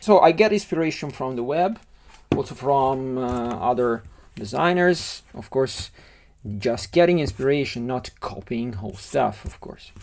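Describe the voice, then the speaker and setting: With an Italian accent, a man speaks at a medium pitch using lively intonation. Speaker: LEGO model designer. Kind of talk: tutorial. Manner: halting.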